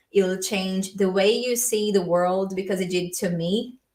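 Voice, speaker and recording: A woman with a Brazilian accent speaks at a moderate pace and a medium pitch. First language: Portuguese. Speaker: language learning youtuber. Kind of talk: livestream Q&A. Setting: live stream. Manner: casual, filler-heavy.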